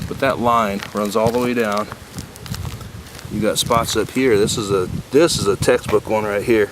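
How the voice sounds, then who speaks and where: Against noticeable background noise, a man talks at a fairly low pitch with monotone, flat intonation. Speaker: roofing contractor. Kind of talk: on-site sales walkthrough. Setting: outdoors on a roof. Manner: casual, conversational.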